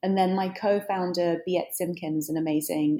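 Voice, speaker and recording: The speaker talks at a moderate pace with a British accent. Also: woman. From Britain. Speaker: author and journalist. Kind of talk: interview.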